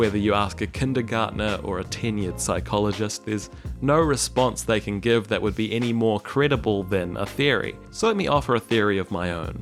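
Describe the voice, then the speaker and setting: Over music in the background, a man with a New Zealand accent and a fairly low pitch talks at a fairly quick pace with lively intonation and hardly any pauses. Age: 20s. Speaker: YouTuber, video essayist. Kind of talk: comedic video essay narration.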